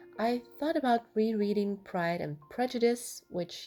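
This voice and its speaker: A woman speaks with a non-native accent at a moderate pace. Her tone is dark and mellow. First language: not English. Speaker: craft and reading vlogger. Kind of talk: voiceover narration over journaling tutorial.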